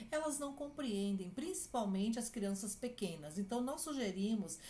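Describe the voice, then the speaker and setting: A woman's fairly high, somewhat breathy voice has a dark, mellow tone and very wide pitch swings, with audible room echo. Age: 60s. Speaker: clinical psychologist. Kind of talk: advice talk to families.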